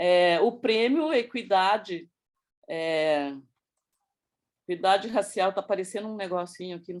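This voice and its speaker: A woman of medium pitch with ordinary pitch variation, a moderate pace and long, frequent pauses. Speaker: project presenter in education working group. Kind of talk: presentation. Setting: video call with screen sharing.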